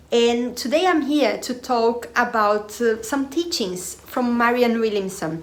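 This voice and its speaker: A woman with a non-native accent speaks at a high pitch with lively intonation. Noticeable background noise and audible room echo surround her voice. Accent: Portuguese-speaker accent in English. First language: Portuguese. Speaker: spiritual/personal development video creator. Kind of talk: casual monologue to camera. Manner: hesitant, many fillers.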